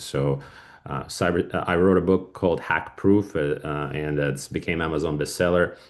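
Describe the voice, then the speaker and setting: The voice has a Russian accent, ordinary pitch variation and a moderate pace against a quiet background. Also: man. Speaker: cybersecurity business owner. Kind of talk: podcast interview. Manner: halting, many fillers.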